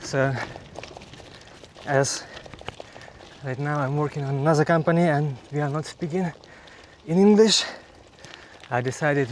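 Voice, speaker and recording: A man's fairly high voice with fairly even intonation, against noticeable background noise. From Ukraine. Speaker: cycling vlogger. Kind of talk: casual vlog monologue. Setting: outdoors on a bike. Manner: halting.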